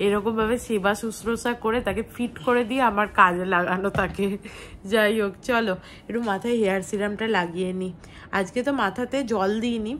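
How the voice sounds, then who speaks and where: Her fairly high voice keeps a fairly level tune as the woman talks. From West Bengal, India. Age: 20s. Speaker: lifestyle vlogger. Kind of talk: casual vlog narration.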